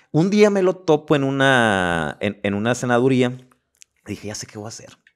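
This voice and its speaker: Behind the voice, the background stays quiet. Its pitch swings very widely while the pace stays moderate. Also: man. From Mexico, Los Mochis, Sinaloa; Sinaloa, Mexico. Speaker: podcast host and life coach; podcast host, life coach. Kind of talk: casual interview chat. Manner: repeats words, halting. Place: studio. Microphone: studio mic.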